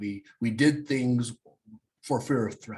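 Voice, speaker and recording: Somewhat breathy, a man with an American accent speaks at a medium pitch with ordinary pitch variation. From Kansas, US Midwest. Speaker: real estate team leader and recruiter. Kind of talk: coaching talk on a group call. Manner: fast; energetic.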